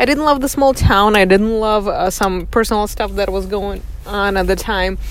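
A woman speaks in a medium pitch with a Russian accent. Noticeable background noise is present. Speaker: podcast host. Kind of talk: personal monologue. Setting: in a car. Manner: reflective, with frequent fillers.

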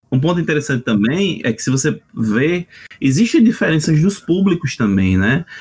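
A man's somewhat breathy voice with a northeastern Brazilian accent, fairly high in pitch, with very wide pitch swings. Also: moderate pace. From Northeast Brazil. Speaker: RPG translator. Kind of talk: casual chat.

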